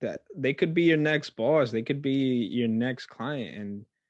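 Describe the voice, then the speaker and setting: A man speaks with an American accent, mumbling. His pitch variation is ordinary. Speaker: podcast host. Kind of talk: casual chat. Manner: stutters at times.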